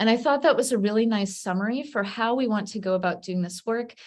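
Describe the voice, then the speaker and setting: Against a quiet background, a somewhat breathy woman talks at a fairly quick pace with ordinary pitch variation. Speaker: state data system leader presenting. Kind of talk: virtual community Q&A presentation. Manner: fast-talking.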